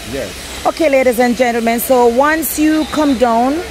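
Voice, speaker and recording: Noticeable background noise sits under a woman's high voice, which shows ordinary pitch variation. She speaks very slowly, and the sound is dry with no echo. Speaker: travel vlogger. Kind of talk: casual vlog chat. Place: market. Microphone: phone near.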